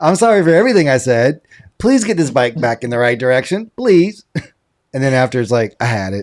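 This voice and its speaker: The speaker talks at a fairly quick pace with a Southern US accent. The tone is animated, with very wide pitch swings. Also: man, medium pitch for a man. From US South, rural South Carolina. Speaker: podcast co-host. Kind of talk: casual chat.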